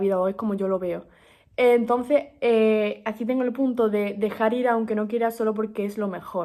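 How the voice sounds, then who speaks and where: A woman speaks in a fairly high pitch with a dark, mellow tone. Her intonation stays fairly even. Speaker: book podcast host. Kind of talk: casual monologue book review. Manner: fast; hesitant, many fillers.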